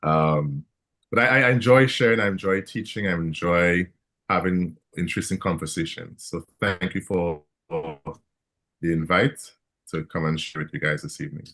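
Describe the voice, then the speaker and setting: With a Caribbean accent, a man speaks in a very deep, low pitch with a bright, sharp tone. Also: lively intonation, moderate pace. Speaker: licensed therapist. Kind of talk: panel discussion.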